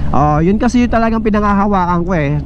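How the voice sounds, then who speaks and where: Against noticeable background noise and audible room echo, a man talks fairly quickly in a high voice with ordinary pitch variation. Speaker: motovlogger and online shop owner. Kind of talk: casual vlog while riding.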